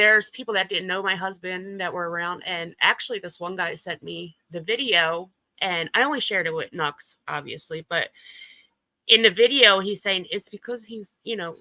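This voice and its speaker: A woman speaks in a bright, sharp tone with ordinary pitch variation and big swings in loudness. The recording is very clean, with a silent background. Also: medium pitch for a woman, moderate pace. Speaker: YouTuber guest. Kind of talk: casual chat interview.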